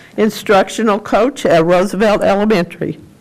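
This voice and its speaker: Over noticeable background noise, a woman with a medium pitch talks at a moderate pace with fairly even intonation. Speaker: school board member. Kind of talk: public meeting remarks. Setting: school board meeting. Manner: loud. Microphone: muffled by face mask.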